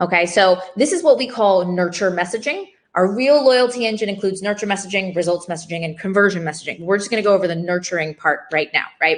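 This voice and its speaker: Her medium-pitched voice, with ordinary pitch variation, races along at a very fast pace with hardly any pauses as the woman talks. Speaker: community business founder and summit speaker. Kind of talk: online conference presentation.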